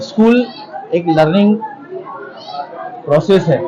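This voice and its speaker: Over crowd noise in the background, a man with a high pitch and ordinary pitch variation speaks with a Pakistani accent. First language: Urdu (speaking Hindi). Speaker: English professor. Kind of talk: event interview.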